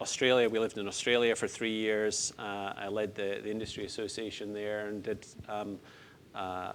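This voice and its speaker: The speaker has a Scottish accent and a moderate pace. The intonation is monotone and flat. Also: man. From Scotland, Lockerbie (Dumfriesshire). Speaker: retired pharmaceutical executive. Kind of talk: interview.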